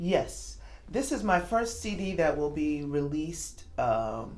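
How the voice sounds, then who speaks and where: Audible room echo around a woman's very slow speech. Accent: New York. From New York City. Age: 50s. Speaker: jazz singer. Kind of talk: interview. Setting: club in Moscow.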